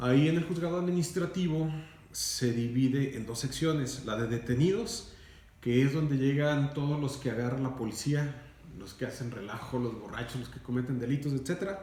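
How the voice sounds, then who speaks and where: Noticeable background noise and audible room echo behind moderate-paced speech with ordinary pitch variation. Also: man, fairly high pitch for a man. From Mexico, Durango. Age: 40s. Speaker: radio announcer and lawyer. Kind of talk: interview. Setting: recorded interview. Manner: formal.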